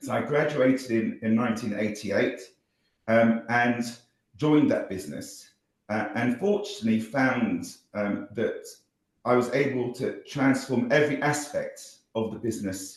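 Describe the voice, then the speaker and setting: With a southern British accent, a man talks at a moderate pace amid audible room echo. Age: 60s. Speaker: social entrepreneur, former company CEO. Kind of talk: interview conversation. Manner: halting, many fillers and repetitions.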